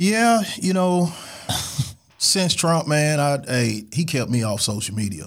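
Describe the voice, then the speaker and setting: Speech comes at a very slow pace with an American accent. The pitch swings very widely. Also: man, fairly high pitch for a man. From St. Louis, Missouri. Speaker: barber, shop owner. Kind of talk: casual chat.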